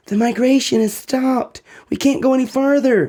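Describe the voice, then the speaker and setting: In a put-on character voice, a man speaks at an extremely high pitch with fairly even intonation and a moderate pace. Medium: read story.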